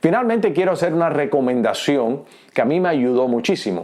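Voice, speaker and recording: This is a man speaking. His pace is very fast. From Cuba. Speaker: pastor. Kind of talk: teaching talk. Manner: hesitant fillers.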